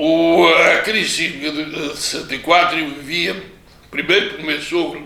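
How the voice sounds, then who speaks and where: The man talks at a fairly slow pace. Background noise is noticeable. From Pico island, Azores, Portugal. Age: 80s+. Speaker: retired teacher and former local politician. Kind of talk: interview answer.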